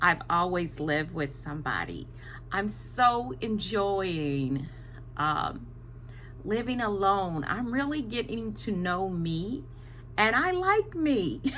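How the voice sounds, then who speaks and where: This woman talks at a very slow pace with a fairly low pitch and very wide pitch swings. Her tone is bright and sharp, and there is audible room echo. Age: 60s. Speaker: vlogger. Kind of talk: casual monologue to camera. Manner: hesitant, many fillers.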